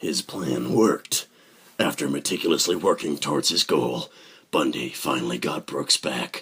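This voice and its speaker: A man does a put-on character voice, raspy and very deep, at a moderate pace. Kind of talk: true-crime documentary narration. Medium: short film. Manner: grave, measured, suspenseful.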